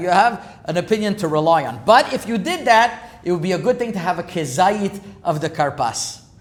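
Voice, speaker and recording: A man's high voice at a fairly quick pace, with lively intonation and noticeable background noise. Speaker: rabbi. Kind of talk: lecture. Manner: fast.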